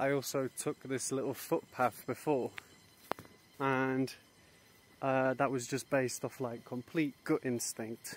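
A man's medium-pitched, monotone, flat delivery at a fairly slow pace, broken by long, frequent pauses over noticeable background noise. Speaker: travel vlogger. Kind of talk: travel vlog narration. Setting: outdoors.

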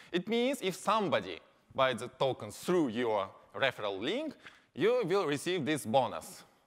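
Vocal fry from a man with a fairly high pitch, very wide pitch swings and a moderate pace. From Japan. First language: Japanese. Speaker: company representative. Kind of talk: conference presentation. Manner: halting with many fillers.

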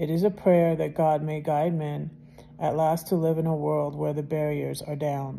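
A woman's very deep, low voice at a moderate pace, flat and monotone in intonation. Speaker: video channel host reading devotional. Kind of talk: casual chat, devotional reading aloud, then fervent prayer. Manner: fervent, heartfelt, earnest and emotional prayer; chatty, warm, informal. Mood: calm, reverent. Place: home room. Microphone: phone near.

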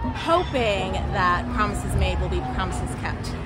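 A woman's voice with ordinary pitch variation over clear music in the background. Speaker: interviewee. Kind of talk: interview answer. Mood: earnest, personal. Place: street. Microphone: phone near.

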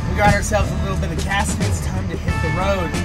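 A man speaks over loud music in the background. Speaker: vanlife vlogger. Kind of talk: casual vlog chat. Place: car. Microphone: phone near.

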